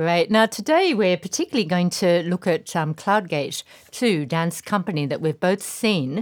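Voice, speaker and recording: A woman with an Australian accent speaks at a moderate pace, her fairly low pitch carried by lively intonation. The sound is dry and close with no echo, on a very clean recording with a silent background. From Tasmania, Australia. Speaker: podcast host, dance writer. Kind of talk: casual chat.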